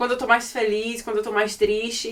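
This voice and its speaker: This woman talks at a fairly quick pace in a high pitch. Background noise is noticeable. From Brazil, Salvador, Bahia. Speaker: podcast host, personal finance educator. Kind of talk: casual podcast interview.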